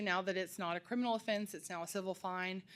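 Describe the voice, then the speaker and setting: In a very clean recording with a silent background, a woman speaks at medium pitch with fairly even intonation. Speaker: mediation center director. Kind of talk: budget presentation to county officials. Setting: county commissioners court meeting. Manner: fast.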